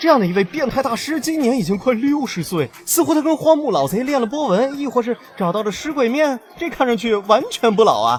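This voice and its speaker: With noticeable background noise behind him, a man speaks at a fairly quick pace in an extremely high pitch with lively intonation. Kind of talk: anime commentary narration. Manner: humorous, casual.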